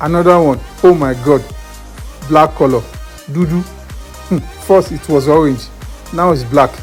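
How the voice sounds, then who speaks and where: Against music in the background, a man speaks with a fairly high pitch and fairly even intonation. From Nigeria. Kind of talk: comedic voiceover commentary. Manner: humorous, joking.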